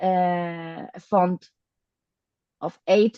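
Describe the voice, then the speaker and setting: A woman with a Spanish accent speaks at a medium pitch in a dark, mellow tone. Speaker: data visualization specialist. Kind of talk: Q&A answers in online talk. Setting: online video meeting. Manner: halting.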